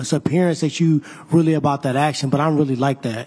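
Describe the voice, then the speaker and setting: A man talks at a very fast pace in a dark, mellow tone that is somewhat breathy. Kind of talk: press conference trash talk. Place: hall. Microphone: handheld.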